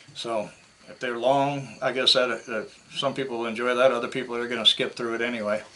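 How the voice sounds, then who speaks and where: A man's medium-pitched voice in an American accent, fairly quick, flat and monotone, with big swings in loudness. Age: 60s. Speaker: scrap metal YouTuber. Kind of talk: casual vlog talk to camera. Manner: casual, hesitant with fillers.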